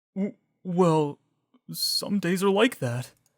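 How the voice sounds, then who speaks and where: In a put-on character voice at a middle pitch, the speaker sounds nervous and shaky. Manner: shaky, nervous.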